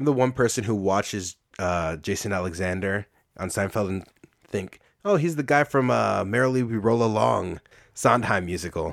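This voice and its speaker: On a very clean recording with a silent background, a man with an ordinary speaking voice talks at a moderate pace, fairly low in pitch and with lively intonation. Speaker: guest. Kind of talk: casual chat.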